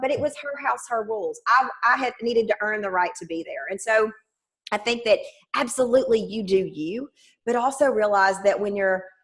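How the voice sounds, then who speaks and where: A woman's animated, fairly high voice in a Southern US accent, fairly quick in pace with ordinary pitch variation. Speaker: sales trainer. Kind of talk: interview. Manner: loud.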